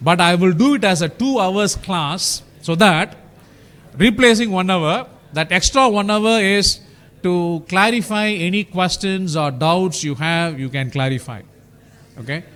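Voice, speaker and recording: A loud man with a high pitch, lively intonation and a fairly slow pace. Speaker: university lecturer. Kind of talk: lecture. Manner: halting.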